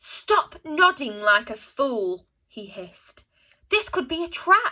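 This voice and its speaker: A woman puts on a growling character voice pitched high. She speaks at a fairly slow pace with very wide pitch swings. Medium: read story. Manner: nervous, shrill.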